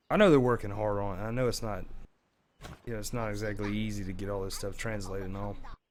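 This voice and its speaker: Audible room echo surrounds a man who speaks at a very fast pace with a fairly low pitch and fairly even intonation. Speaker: gaming YouTuber. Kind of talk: gameplay tutorial. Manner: casual, filler-heavy.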